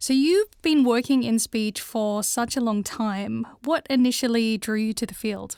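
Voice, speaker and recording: A woman with an Australian accent, fairly high-pitched, at a fairly slow pace with hardly any pauses and ordinary pitch variation, in a dry, close sound with no echo. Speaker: podcast host. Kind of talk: scripted narration. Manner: clearly articulated.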